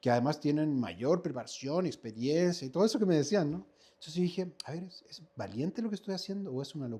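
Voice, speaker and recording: This man has a fairly high pitch and a dark, mellow tone. He speaks very fast, with lively intonation and big swings in loudness. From Chile, Viña del Mar. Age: 50s. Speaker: actor and acting teacher. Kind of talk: interview conversation.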